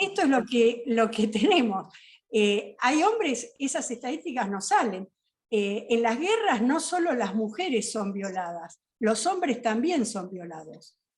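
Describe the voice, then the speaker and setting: Her pitch swings very widely as the woman speaks at a fairly slow pace. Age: 60s. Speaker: justice of the peace and peace researcher. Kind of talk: panel discussion talk.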